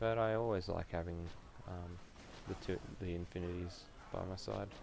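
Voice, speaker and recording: The intonation stays fairly even. Room echo is audible throughout. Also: man, very deep, low pitch for a man, moderate pace. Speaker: gaming streamer. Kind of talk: live gameplay stream chat. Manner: quiet, keeping voice down; hesitant with many fillers.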